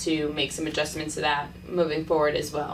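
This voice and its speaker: A woman's very deep, low voice, flat and monotone, with noticeable background noise. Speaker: volleyball head coach. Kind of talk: interview answer.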